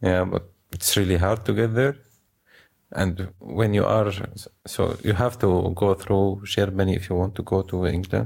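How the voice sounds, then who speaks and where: Very deep and low, a man's voice carries an Arabic accent at a moderate pace. His loudness is very even, and the recording is very clean with a silent background. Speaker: refugee. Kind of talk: interview. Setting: co-working space. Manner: halting.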